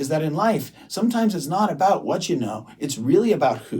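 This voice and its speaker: A man with an American accent speaks at a moderate pace in a relaxed, dark and mellow tone. His voice is somewhat breathy, and his pitch swings very widely. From US Midwest, Detroit, Michigan. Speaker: restaurant owner and entrepreneur. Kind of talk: interview podcast. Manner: conversational, relaxed.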